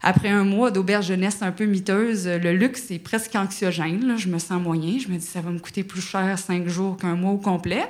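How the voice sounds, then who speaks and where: Audible room echo around a woman's voice, medium in pitch, its intonation fairly even. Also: moderate pace. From Quebec. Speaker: actress and screenwriter. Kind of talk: storytelling. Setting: stage with audience.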